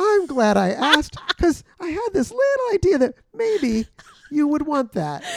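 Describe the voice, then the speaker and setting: Loud and at a moderate pace, a man speaks in an extremely high pitch with very wide pitch swings. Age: 50s. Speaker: missionary and podcast co-host. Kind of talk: casual chat.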